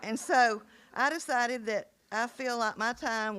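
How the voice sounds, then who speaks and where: A woman speaks with a South Carolina accent. The recording is very clean, with a silent background. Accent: Southern US (South Carolina). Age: 70s. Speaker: school board member, retired teacher. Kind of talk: farewell speech at board meeting. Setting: public board meeting.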